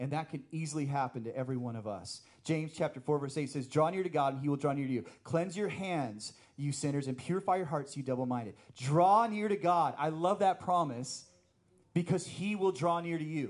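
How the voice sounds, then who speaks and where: A man talks at a fairly quick pace with a fairly high pitch. His pitch variation is ordinary. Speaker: pastor. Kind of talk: sermon. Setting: church. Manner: fast.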